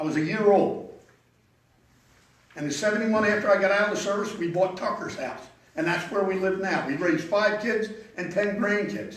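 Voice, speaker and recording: A man's high voice at a fairly quick pace, with ordinary pitch variation, long, frequent pauses, audible room echo and noticeable background noise. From Pennsylvania, US. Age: 70s. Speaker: local resident speaking at public hearing. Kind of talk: public comment at zoning hearing. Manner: halting, repeats words.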